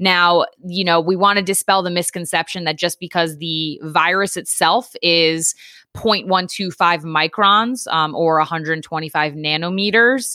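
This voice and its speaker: A fairly low-pitched woman's voice, bright and sharp in tone, very slow, with ordinary pitch variation. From Connecticut, Long Island and New York City, now Philadelphia. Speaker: podcast co-host, scientist. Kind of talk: explanatory, scientific.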